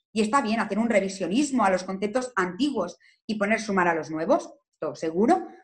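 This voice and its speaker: A woman talks at a fairly quick clip in an animated, somewhat breathy tone with lively intonation. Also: medium pitch for a woman. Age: 20s. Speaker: lawyer. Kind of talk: interview.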